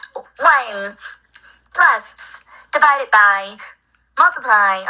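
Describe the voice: A female-sounding voice puts on a character at a very slow pace and a high pitch.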